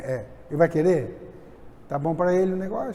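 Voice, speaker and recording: Audible room echo surrounds a man's dark, mellow voice. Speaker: preacher. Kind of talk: sermon.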